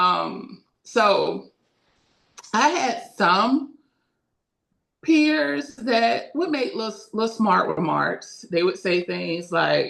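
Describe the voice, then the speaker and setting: With an American accent, a woman speaks at a very slow pace with long, frequent pauses. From Daytona Beach, Florida, US South. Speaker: school counselor. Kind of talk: interview, personal story. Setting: podcast recording.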